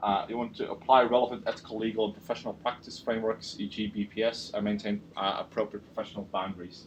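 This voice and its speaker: This man talks at a very fast pace with a medium pitch. His intonation is monotone and flat. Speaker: university lecturer. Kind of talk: lecture. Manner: halting, many fillers.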